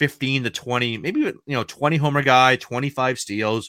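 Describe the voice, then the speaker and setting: The speaker has a New England accent and a bright, sharp tone, moving at a fairly quick pace with ordinary pitch variation. The very clean recording has a silent background and a dry, close sound with no echo. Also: man. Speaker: fantasy baseball podcast host. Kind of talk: solo podcast analysis. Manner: casual, conversational.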